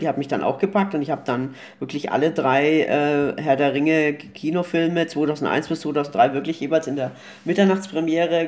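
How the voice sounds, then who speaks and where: The delivery is fairly quick and fairly even in intonation, in an ordinary speaking voice. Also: man. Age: 40s. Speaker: film blogger and podcast co-host. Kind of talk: casual chat.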